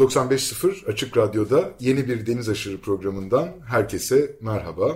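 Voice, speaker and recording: A somewhat breathy man at a medium pitch and a fairly slow pace. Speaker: radio show host. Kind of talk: radio interview.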